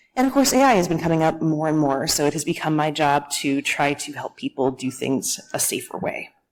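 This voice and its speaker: Fairly quick speech with an American accent. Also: woman. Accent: flat American. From United States. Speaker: security engineer, conference speaker. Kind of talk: conference talk.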